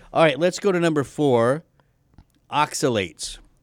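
A man speaks with an American accent and lively intonation. The recording is very clean, with a silent background. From Texas. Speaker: podcast host. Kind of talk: casual chat.

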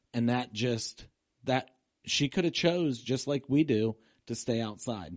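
A man's medium-pitched voice, an unremarkable speaking voice, at a fairly slow pace with lively intonation. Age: 50s. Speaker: pastor. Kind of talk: casual chat. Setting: studio.

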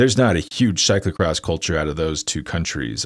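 This man has an American accent and a very deep, low pitch. He talks at a fairly quick pace on a very clean recording with a silent background. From United States. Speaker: cycling podcast host and newsletter writer. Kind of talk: solo commentary podcast. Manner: casual, with frequent fillers.

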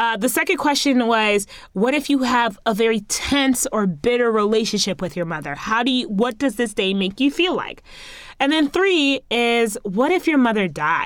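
Speaking with an American accent, a woman uses a fairly high voice and an animated tone. Her pitch swings very widely, and the recording is very clean with a silent background. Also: moderate pace. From US, Haitian American family. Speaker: podcast host. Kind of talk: casual monologue.

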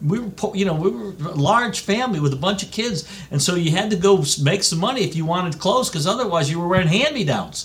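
Through noticeable background noise, a man talks at a very fast pace with a high pitch. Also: lively intonation. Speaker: golf club executive. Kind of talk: radio interview. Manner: animated.

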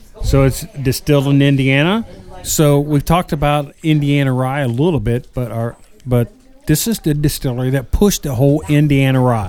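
The man has an ordinary speaking voice, fairly high in pitch and with ordinary pitch variation. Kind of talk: radio-style sales pitch / ad read. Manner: upbeat, rapid-fire announcer cadence with infomercial hype.

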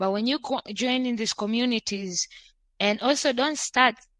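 The background is quiet and the sound is dry and close with no echo. A woman speaks at a moderate pace with ordinary pitch variation. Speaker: podcast host. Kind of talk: casual chat. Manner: loud.

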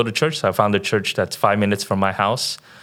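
A man with an American accent uses an ordinary speaking voice, fairly low in pitch, at a fairly quick pace with fairly even intonation. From San Francisco Bay Area, California. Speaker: missionary. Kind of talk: interview.

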